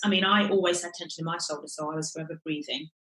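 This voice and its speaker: There is audible room echo as a woman talks. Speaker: creative life coach, former actress. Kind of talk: casual interview chat. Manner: fast.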